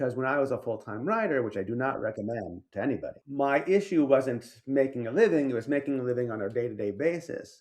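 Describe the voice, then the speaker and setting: With an American accent, a man talks at a very fast pace with lively intonation and hardly any pauses. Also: medium pitch for a man, quiet background. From New York, Greek American. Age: middle-aged. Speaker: novelist and editor. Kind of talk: casual interview chat.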